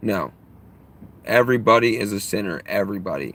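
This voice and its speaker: A man with an American accent, fairly low pitch, vocal fry, ordinary pitch variation and a moderate pace. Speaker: live streamer. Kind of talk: live stream chat. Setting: live stream. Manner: throat clearing.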